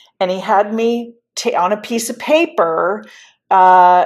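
The recording is very clean, with a silent background. A woman speaks at a medium pitch in an ordinary speaking voice, with ordinary pitch variation. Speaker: podcast host. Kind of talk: podcast conversation.

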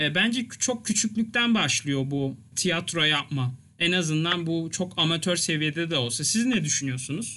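A man's high-pitched, bright, sharp voice with lively intonation, very even loudness and a fairly slow pace, against a quiet background. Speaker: podcast host. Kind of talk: casual chat.

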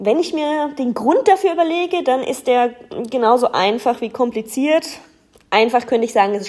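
Lively intonation carries the speech at a moderate pace. The tone is dark and mellow. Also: woman. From southern Germany. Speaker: fan. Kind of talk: prepared self-introduction.

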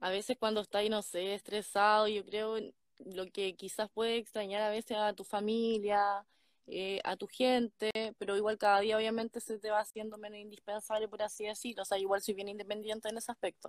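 A woman with a Chilean accent talks at a fairly quick pace in a flat monotone, her voice dry and close with no echo. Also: fairly high pitch for a woman. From Chile, Ñuble region (Ninhue). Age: 20s. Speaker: guest on live stream. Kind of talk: casual chat.

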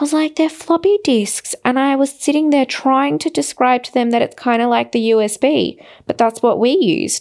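At a moderate pace, a woman with an Australian accent speaks high-pitched with lively intonation. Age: 30s. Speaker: podcast host. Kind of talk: casual monologue. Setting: hotel room.

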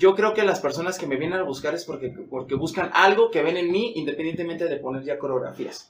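A high-pitched man talks at a very fast pace with hardly any pauses. His pitch varies in an ordinary way. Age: 40s. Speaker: dancer and dance teacher. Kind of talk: interview conversation. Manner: halting, repeats words.

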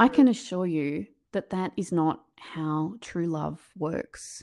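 Speaking with an Australian accent, a woman uses lively intonation, a fairly low pitch and a dark, mellow tone. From rural New South Wales, Australia. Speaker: author and keynote speaker. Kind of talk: interview, storytelling.

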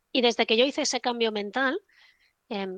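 An unremarkable speaking voice with ordinary pitch variation comes through dry and close with no echo, over a quiet background. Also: woman. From Spain, Barcelona. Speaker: trader. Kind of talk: casual interview chat.

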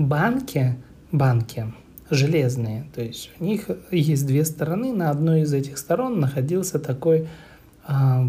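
This man's voice sits fairly high, with a dark, mellow tone and a somewhat breathy quality. He speaks at a fairly slow pace with ordinary pitch variation. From Moscow, Russia. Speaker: podcaster. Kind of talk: personal storytelling monologue. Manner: casual, hesitant.

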